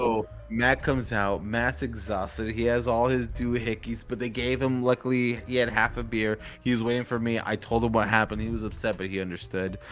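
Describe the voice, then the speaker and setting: A man of medium pitch speaks at a fairly quick pace with hardly any pauses. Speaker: podcast host. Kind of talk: casual chat. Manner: animated.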